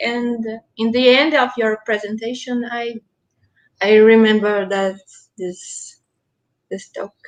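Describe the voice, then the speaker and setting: Speaking at a very slow pace with long, frequent pauses, a woman keeps a fairly high pitch and fairly even intonation while her loudness swings a lot. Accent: Brazilian Portuguese. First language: Portuguese. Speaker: student event moderator. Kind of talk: casual chat. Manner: halting.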